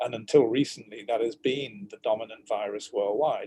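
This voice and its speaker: A man with a British accent speaks at a moderate pace. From Britain. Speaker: virologist and professor. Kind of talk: expert interview. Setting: video call.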